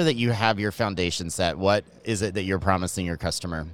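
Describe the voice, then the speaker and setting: A man's unremarkable speaking voice, fairly low in pitch and fairly quick in pace, on a very clean recording with a silent background. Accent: American. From Georgia, US South.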